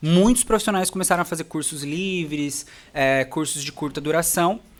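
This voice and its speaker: Heard here is a man with an ordinary speaking voice, fairly high in pitch, using ordinary pitch variation at a moderate pace. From Brazil, interior of São Paulo state. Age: 20s. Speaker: dentist and facial aesthetics specialist. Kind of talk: podcast interview.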